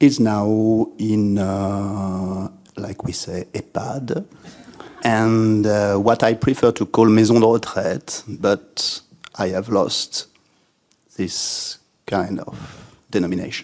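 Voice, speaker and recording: Very slow speech in a French accent, fairly even intonation, and long, frequent pauses. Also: man, fairly low pitch for a man. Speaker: writer and literature lecturer. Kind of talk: spoken talk to audience. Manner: halting, many fillers.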